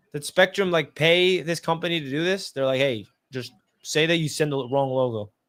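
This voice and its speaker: Against a silent background in a very clean recording, a man with a fairly high pitch speaks at a moderate pace with ordinary pitch variation. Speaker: sports podcast host. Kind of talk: live play-by-play reaction. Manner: loud.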